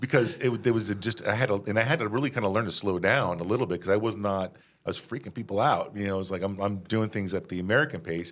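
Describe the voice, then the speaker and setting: A man rattles off his words at a very fast pace while noticeable background noise carries on behind him. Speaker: podcast co-host. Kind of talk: casual interview chat.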